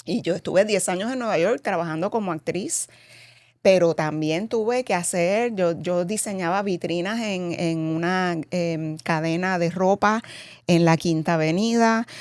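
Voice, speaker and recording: An unremarkable speaking voice goes at a fairly slow pace with ordinary pitch variation, on a very clean recording with a silent background. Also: woman, fairly low pitch for a woman. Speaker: cosmetics company president, former actress. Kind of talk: interview.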